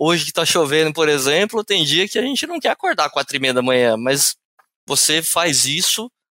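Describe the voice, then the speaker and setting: A man speaks at a moderate pace in a bright, sharp tone. The recording is very clean with a silent background and a dry, close sound with no echo. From interior of São Paulo state, Brazil (Ribeirão Preto). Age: 30s. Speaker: sales manager. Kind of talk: podcast interview.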